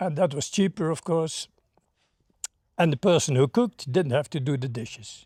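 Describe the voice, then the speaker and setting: A dark, mellow tone in a Dutch accent, recorded very cleanly with a silent background and a dry, close sound with no echo. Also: man. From Netherlands. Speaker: former hippie. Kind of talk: interview. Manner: halting.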